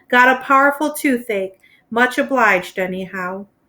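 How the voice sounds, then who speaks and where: A woman's put-on character voice, high-pitched and gravelly, at a moderate pace with ordinary pitch variation. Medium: read story. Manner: terse.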